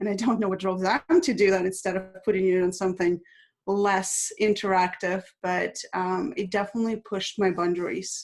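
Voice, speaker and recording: A woman speaks with a Russian accent at a medium pitch. Her pace is moderate and her intonation fairly even. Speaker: international speaker. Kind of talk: interview.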